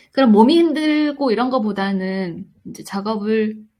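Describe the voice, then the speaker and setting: A woman speaks at a fairly slow pace in a somewhat breathy voice with lively intonation. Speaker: independent animation director. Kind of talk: interview. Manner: gentle, warm; hesitant, with fillers.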